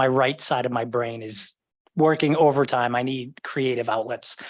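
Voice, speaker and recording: Someone talks with an American accent at a moderate pace. There is ordinary pitch variation and a quiet background. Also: man. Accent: Boston accent, somewhat controlled. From Boston area, Massachusetts. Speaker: committee member, government data analyst. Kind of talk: meeting self-introduction. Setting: livestreamed city committee meeting.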